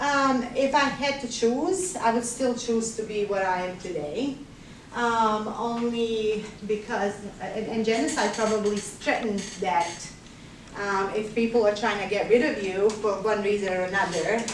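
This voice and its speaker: Speaking with a Bosnian accent, a woman talks at a fairly slow pace and a fairly high pitch with ordinary pitch variation. There is noticeable background noise. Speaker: nurse. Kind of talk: classroom guest talk answering student questions.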